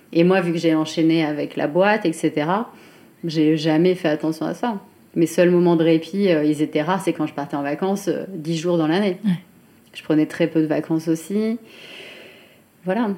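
Speaking at a moderate pace with long, frequent pauses, a woman has a fairly low pitch, fairly even intonation, and a dark, mellow tone. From France, Chartres area. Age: 30s. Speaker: fashion brand founder. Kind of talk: interview. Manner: hesitant, many fillers.

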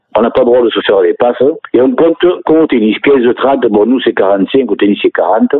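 A man's moderately paced speech at very even loudness. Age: 60s. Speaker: sports federation president. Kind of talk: radio interview. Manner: halting.

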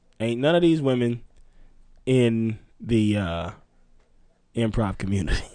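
A man speaks at a fairly slow pace with a dark, mellow tone, medium pitch and lively intonation, leaving long, frequent pauses. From Mississippi. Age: 30s. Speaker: improviser and comedy writer. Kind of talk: casual chat. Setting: studio.

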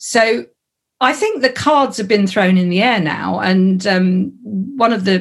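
Here is a woman with a medium-pitched voice. She sounds somewhat breathy. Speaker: comedy community founder. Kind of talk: casual chat.

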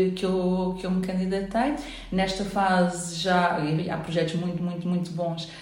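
A woman talks at a medium pitch amid noticeable background noise and audible room echo. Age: 40s. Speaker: psychologist and real estate entrepreneur. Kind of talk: interview. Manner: halting.

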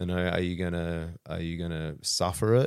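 A man with an Australian accent, very deep and low in pitch, at a moderate pace, on a very clean recording with a silent background. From rural Australia. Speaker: martial arts coach and wellness business owner. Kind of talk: casual chat.

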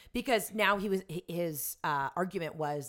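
A woman with an American accent speaks with ordinary pitch variation on a very clean recording with a silent background. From US South. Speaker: actress. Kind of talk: casual chat.

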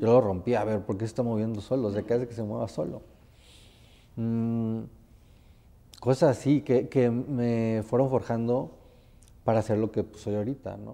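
A man's medium-pitched voice, dark and mellow in tone, at a moderate pace with fairly even intonation, long and frequent pauses, and a quiet background. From Mexico (Tempoal, Veracruz). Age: 30s. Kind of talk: interview, casual chat.

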